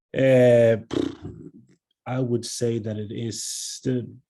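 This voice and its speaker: A man talks with a slight American accent. His tone is dark and mellow. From Sweden. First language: Swedish. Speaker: economics researcher. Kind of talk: interview. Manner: halting, many fillers and repetitions.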